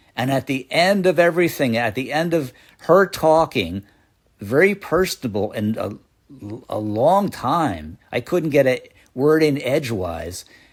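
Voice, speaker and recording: Over a silent background in a very clean recording, a man talks at a fairly slow pace with vocal fry and very wide pitch swings. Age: 60s. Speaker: comedian. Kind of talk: stand-up. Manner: halting.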